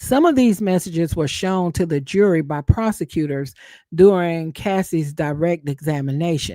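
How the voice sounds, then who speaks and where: Talking at a moderate pace in a Southern accent, the voice sits in a very clean recording with a silent background. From US South. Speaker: YouTube content creator, live streamer. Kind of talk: live stream commentary reading news updates. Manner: casual, conversational.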